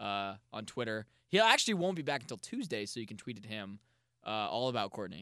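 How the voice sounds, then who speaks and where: This man talks at a fairly quick clip with an energetic, bright, sharp tone, a fairly low pitch and lively intonation against a quiet background. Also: big swings in loudness. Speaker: podcast host. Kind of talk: casual chat.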